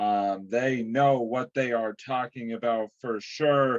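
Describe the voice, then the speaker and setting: Putting on a robotic character voice, a man talks at a fairly slow pace, the sound dry and close with no echo. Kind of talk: scripted ad read. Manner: robotic, flat monotone.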